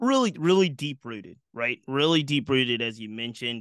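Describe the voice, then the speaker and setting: A man's bright, sharp voice comes through dry and close, with no echo. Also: quiet background. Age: 40s. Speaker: baseball history podcaster. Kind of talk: interview.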